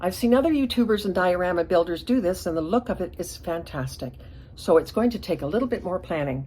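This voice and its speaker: The speaker talks at a very fast pace. The intonation is lively. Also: woman. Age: 70s. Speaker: hobbyist diorama builder, channel owner. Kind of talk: casual vlog monologue.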